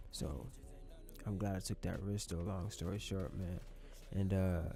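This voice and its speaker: A man speaks with a very deep, low pitch and fairly even intonation. Audible room echo and music in the background surround him. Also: moderate pace. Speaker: YouTuber, gaming commentator. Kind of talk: casual storytime vlog over gameplay.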